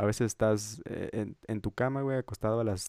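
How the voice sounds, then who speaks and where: A man with a Mexican accent talks at a moderate pace in a dark, mellow tone with monotone, flat intonation. The recording is very clean with a silent background and a dry, close sound with no echo. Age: young. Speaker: podcast co-host. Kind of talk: casual chat.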